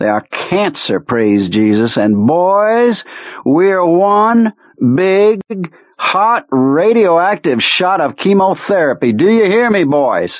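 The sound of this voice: A man puts on a character voice pitched high, with big swings up and down. He talks slowly, with few pauses.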